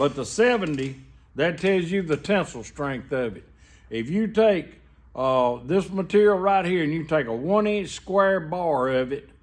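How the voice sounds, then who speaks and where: In a Southern US accent, the speaker talks at a fairly slow pace with lively intonation. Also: man. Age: 60s. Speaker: welder. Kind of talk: tutorial. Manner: casual, folksy.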